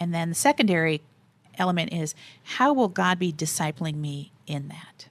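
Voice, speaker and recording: Speaking at a moderate pace and a fairly low pitch with ordinary pitch variation, the woman has an unremarkable speaking voice. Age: 40s. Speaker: faith and work nonprofit director. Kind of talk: interview.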